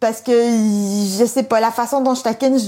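A woman's dark, mellow tone at a fairly high pitch, with a Quebec accent and a fairly quick pace. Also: very clean recording, silent background. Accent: Québécois French. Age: 40s. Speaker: interviewee with Asperger syndrome. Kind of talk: interview.

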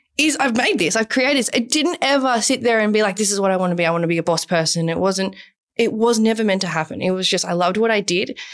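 A woman of medium pitch talks at a very fast pace with ordinary pitch variation. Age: 20s. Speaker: business founder. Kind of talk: casual chat. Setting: studio.

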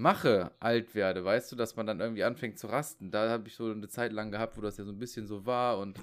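On a very clean recording with a silent background, a man speaks in an unremarkable speaking voice at medium pitch with fairly even intonation. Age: 30s. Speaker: podcast guest. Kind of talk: casual chat.

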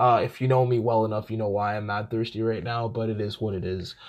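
A man talks at a fairly quick pace in a fairly low, raspy voice. His tone is slightly mellow and his intonation fairly even.

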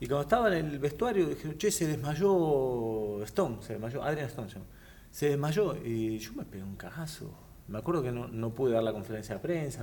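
A man's somewhat breathy, medium-pitched voice with a dark, mellow tone, lively intonation, big swings in loudness and a Rioplatense accent. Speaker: professional boxer. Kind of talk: casual chat.

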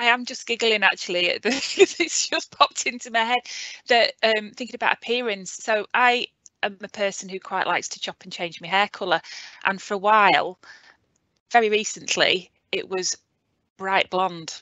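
With an unremarkable speaking voice, a woman of fairly high pitch talks at a moderate pace, her pitch varying in an ordinary way and her loudness swinging widely. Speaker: HR director.

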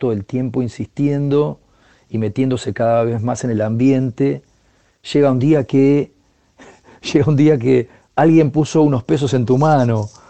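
A man's medium-pitched voice in a Rioplatense accent at a moderate pace. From Buenos Aires province, Argentina (General Pacheco). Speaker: percussionist. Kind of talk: interview.

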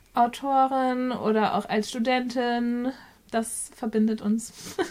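Monotone, flat female voice. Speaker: book podcast co-host. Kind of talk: casual chat.

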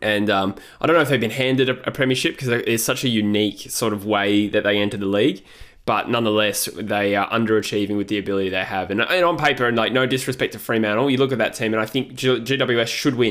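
At a very fast pace, a man with an Australian accent and medium pitch uses ordinary pitch variation in a very clean recording with a silent background. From Western Australia. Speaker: football podcast co-host. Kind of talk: casual sports chat.

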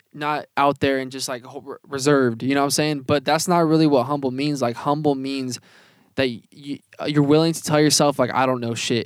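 Recorded very cleanly against a silent background, a man speaks at a fairly quick pace with a fairly high pitch. His intonation is monotone and flat, and the sound is dry and close with no echo. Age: 20s. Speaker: podcast co-host and music artist. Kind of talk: casual chat. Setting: inside an RV.

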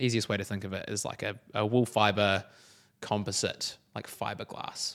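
A fairly low-pitched man in a New Zealand accent, moderate pace, monotone, flat intonation, very clean recording and silent background. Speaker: podcast co-host. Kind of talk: interview, being interviewed. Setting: studio.

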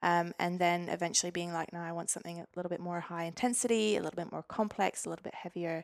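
A woman at a fairly low pitch, very fast and with hardly any pauses, fairly even in intonation, in a very clean recording with a silent background. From Norway (Stavanger). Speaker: physiotherapist and weightlifter. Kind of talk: casual interview.

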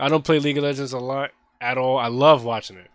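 A man is speaking. His pace is very fast. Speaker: podcast host. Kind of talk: casual chat.

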